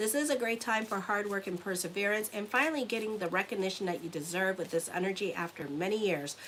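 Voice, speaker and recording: Noticeable background noise sits behind the speaker. She is a woman with a medium pitch and ordinary pitch variation. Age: 50s. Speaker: astrologer and tarot reader. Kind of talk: horoscope reading monologue. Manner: casual, conversational.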